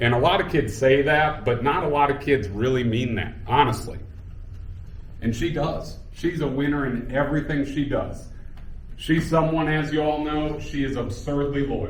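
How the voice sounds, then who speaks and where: With a fairly high pitch, a man talks at a moderate tempo amid audible room echo. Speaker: high school basketball coach. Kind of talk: speech at a celebration. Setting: room with audience. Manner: loud; animated.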